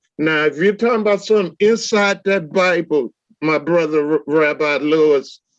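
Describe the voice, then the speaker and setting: This normal speaking voice keeps a very even loudness, moving at a moderate pace with ordinary pitch variation. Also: man, fairly high pitch for a man. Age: 60s. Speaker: debate panelist. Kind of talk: heated debate.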